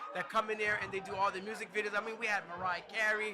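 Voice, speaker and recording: Over noticeable background noise, a man with a high pitch talks very fast in a raised, projected voice. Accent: American. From New Jersey. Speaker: choreographer and dance studio owner. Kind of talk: casual interview. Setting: live event day party.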